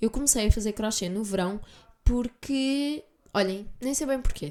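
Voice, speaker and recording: A woman's dark, mellow voice in a European Portuguese accent, fairly slow, with ordinary pitch variation. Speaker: podcast host. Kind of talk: solo podcast monologue. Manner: casual, chatty.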